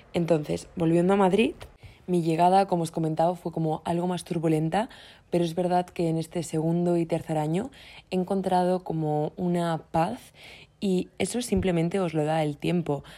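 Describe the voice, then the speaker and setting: Over a silent background in a very clean recording, a woman talks at a moderate pace with a fairly low pitch, a dark, mellow tone and fairly even intonation. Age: 20s. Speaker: podcast host. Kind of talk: solo monologue. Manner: casual, hesitant fillers.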